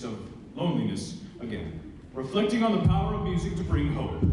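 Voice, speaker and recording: A man talks at a moderate pace. Strong room echo and noticeable background noise fill the recording. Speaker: concert announcer. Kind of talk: live concert introduction. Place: stage.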